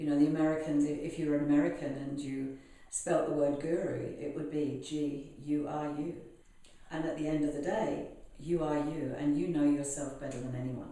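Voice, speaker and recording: A British accent at a moderate pace with monotone, flat intonation, audible room echo and noticeable background noise. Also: woman, very deep, low pitch for a woman. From UK. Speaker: healer. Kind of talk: interview.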